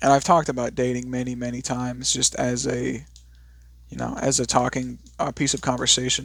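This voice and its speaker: This man speaks quietly at medium pitch. His pace is moderate and his intonation fairly even. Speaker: video blogger. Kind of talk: unscripted rant. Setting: at home. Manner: quiet, subdued; hesitant, with fillers.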